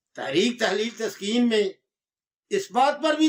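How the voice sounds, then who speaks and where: A man's extremely high pitch moves in very wide swings. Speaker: herbal medicine teacher. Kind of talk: lecture. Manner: forceful.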